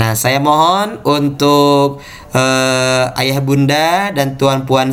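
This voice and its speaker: A man with a fairly high pitch talks very slowly. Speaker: Islamic teacher. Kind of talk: online class lesson. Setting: video call. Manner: formal, teacherly.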